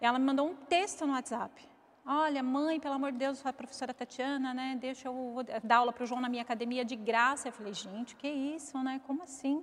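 A woman with a high pitch talks at a fairly quick pace with hardly any pauses. Her intonation stays fairly even. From Osasco, São Paulo, Brazil. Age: 40s. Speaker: mother of a ballet student. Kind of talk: interview, personal story.

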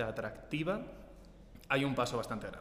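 Over noticeable background noise and audible room echo, a man speaks very fast at a fairly high pitch. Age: 20s. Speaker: team member. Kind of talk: casual group chat.

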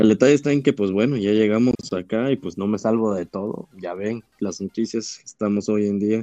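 A man's fairly low, dark and mellow voice at a moderate pace, fairly even in intonation with hardly any pauses, dry and close with no echo. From Tabasco, Mexico. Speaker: physician. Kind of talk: interview. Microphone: connection problems, audio may cut out.

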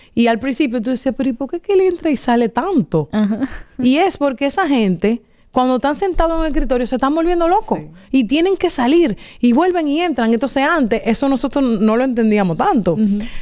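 At a fairly quick pace, a woman speaks in a high pitch with a dark, mellow tone and very wide pitch swings. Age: 40s. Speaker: marketing executive. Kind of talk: interview.

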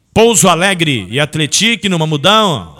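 A man's high-pitched voice at a fairly slow pace. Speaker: sports radio host. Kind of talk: sports radio show. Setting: radio studio. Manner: animated.

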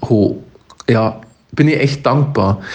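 The pace is very slow. A man talks at a medium pitch. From Upper Palatinate, Bavaria. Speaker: podcast co-host. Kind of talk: casual chat.

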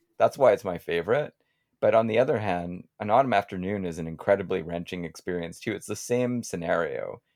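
It is a normal speaking voice at a fairly quick pace. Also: man, fairly low pitch for a man, ordinary pitch variation, very clean recording, silent background. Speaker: podcast host, guest. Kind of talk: casual conversation, interview.

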